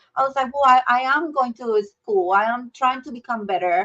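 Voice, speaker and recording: A woman speaks with a Mexican accent at a high pitch. Her intonation is lively. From Mexico. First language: Spanish. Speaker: healthcare leader. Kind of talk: podcast interview.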